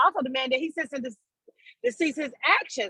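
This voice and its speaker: A raised, projected voice comes across with a stern, bright, sharp tone. The sound is dry and close, with no echo. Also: woman. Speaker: union member, transit worker. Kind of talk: virtual meeting discussion. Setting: in a car, video call. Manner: loud, stern.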